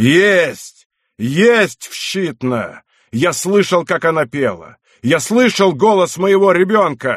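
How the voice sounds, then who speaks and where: A man shouts in a put-on character voice. His growling delivery sits at a high pitch. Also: fairly slow pace. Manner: shouting, terrible anguished.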